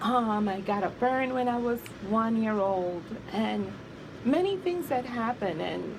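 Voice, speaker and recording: Over noticeable background noise and audible room echo, a woman talks fairly slowly in a fairly high voice with lively intonation. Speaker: abuse survivor and author. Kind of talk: interview testimony.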